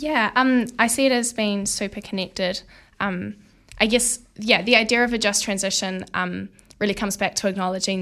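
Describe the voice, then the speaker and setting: A woman with a New Zealand accent speaks at a fairly quick pace and medium pitch with fairly even intonation. The recording is very clean with a silent background. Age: young. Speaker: student activist. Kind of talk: interview. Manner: hesitant, many fillers.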